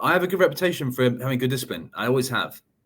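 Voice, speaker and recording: A man speaks at a very fast pace with a bright, sharp tone. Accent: London. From outskirts of London, England. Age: young. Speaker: commercial real estate broker. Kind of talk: podcast interview answer.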